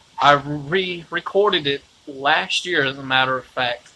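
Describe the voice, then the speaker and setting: There is noticeable background noise behind a man speaking at a very slow pace. His pitch is fairly high, with ordinary variation. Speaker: independent musician and vlogger. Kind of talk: live video monologue. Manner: loud; rambling, hesitant.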